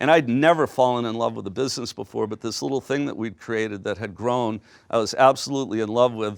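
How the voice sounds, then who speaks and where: A man talks at medium pitch in an unremarkable speaking voice with ordinary pitch variation. The recording is very clean, with a silent background. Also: dry, close sound with no echo. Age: 60s. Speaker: business executive. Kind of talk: lecture. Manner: casual, conversational.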